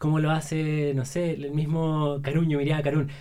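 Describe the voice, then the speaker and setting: A man speaks with a dark, mellow tone. His pace is fairly slow. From Chile, Santiago. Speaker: entrepreneur selling online courses. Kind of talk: casual interview chat.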